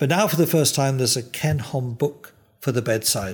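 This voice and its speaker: Somewhat breathy, a man speaks at medium pitch with ordinary pitch variation. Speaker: interviewer. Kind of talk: interview. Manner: warm, chatty.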